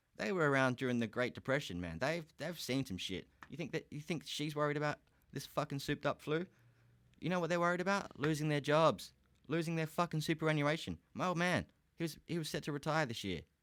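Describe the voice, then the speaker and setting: In a very clean recording with a silent background, a man with an Australian accent speaks very fast at a fairly high pitch, using ordinary pitch variation. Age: 30s. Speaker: podcast host. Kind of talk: casual solo podcast rant. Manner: animated.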